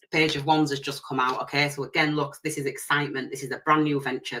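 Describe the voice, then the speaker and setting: Someone talks at a very fast pace in a strong Leeds accent. Noticeable background noise runs underneath. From northern England, Leeds. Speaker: tarot reader. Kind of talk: live stream tarot reading. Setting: live stream. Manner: loud at times.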